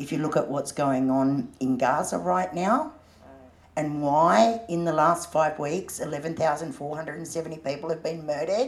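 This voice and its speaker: A woman with an Australian accent speaks very slowly in a very deep, low voice, her intonation lively. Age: old. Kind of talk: panel discussion.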